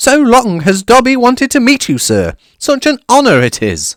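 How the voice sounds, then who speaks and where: On a very clean recording with a silent background, a put-on character voice is raised and projected at a fairly high pitch and a moderate pace. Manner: eager, reverent.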